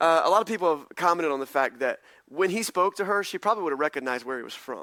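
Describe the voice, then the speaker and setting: In a Southern US accent, a man talks at a very fast pace with a bright, sharp tone and ordinary pitch variation. The recording is very clean, with a silent background. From US South, North Carolina. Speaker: pastor. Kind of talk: sermon. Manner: animated.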